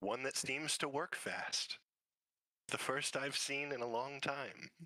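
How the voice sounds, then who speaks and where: The voice is a put-on character. Its delivery is fairly slow. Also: man, medium pitch for a man. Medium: actual play. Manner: dry, sardonic.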